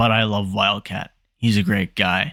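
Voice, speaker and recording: The recording is very clean, with a silent background. A man with a fairly low pitch talks at a moderate pace. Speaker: YouTuber ranking gaming creators. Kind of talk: casual commentary video. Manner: subdued, unenthusiastic tone; quiet, not loud.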